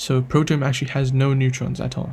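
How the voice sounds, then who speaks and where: Somewhat breathy and dark, mellow in tone, a man speaks at medium pitch. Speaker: chemistry tutor. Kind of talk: tutorial. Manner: fast; halting.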